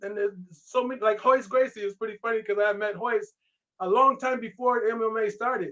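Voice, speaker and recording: A man's raised, projected voice sounds bright, sharp and animated, with a high pitch. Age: 60s. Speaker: martial arts grandmaster and actor. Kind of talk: casual interview chat.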